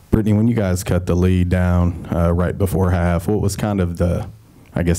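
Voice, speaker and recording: At a moderate pace, a man speaks with a very deep, low voice of dark, mellow tone and monotone, flat intonation. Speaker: sports reporter. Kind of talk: press conference questions. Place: meeting room.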